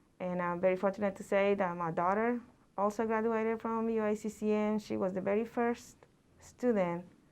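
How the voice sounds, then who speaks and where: The speaker has a Mexican accent against a quiet background. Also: woman. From central Mexico. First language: Spanish. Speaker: college Spanish instructor. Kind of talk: presentation talk. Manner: halting, many fillers.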